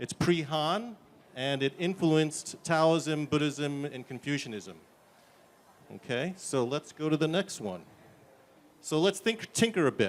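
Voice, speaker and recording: Speaking with a New York accent, a man with a fairly high pitch talks at a fairly slow pace with lively intonation. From US, New York. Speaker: tech startup founder. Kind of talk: conference demo presentation. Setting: conference stage.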